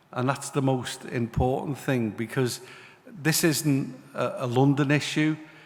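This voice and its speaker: A man speaks at a medium pitch with a Liverpool accent and fairly even intonation. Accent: Liverpool (Scouse). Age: 60s. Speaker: city mayor. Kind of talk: panel speech. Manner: hesitant, many fillers.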